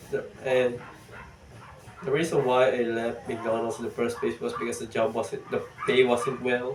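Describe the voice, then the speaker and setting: A strong non-native accent comes through audible room echo and noticeable background noise. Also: man. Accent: thick non-native. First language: not English. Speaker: vlogger. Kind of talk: casual vlog monologue. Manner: halting.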